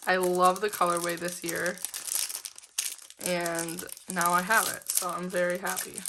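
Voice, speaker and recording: Over noticeable background noise, a woman with a fairly low pitch speaks fairly slowly in a monotone, flat intonation, leaving long, frequent pauses. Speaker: planner hobby vlogger. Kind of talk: casual unboxing vlog. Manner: casual with many fillers.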